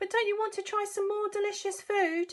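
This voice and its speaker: A woman uses a put-on character voice, squeaky and extremely high in pitch. She speaks at a fairly quick pace. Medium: read story.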